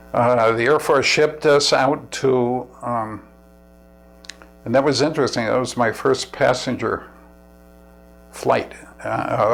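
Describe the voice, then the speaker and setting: Music plays in the background. A man with an American accent speaks at a medium pitch with fairly even intonation. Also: long, frequent pauses. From New York City. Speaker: war veteran. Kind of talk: oral history interview. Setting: at home. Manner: halting, with restarts.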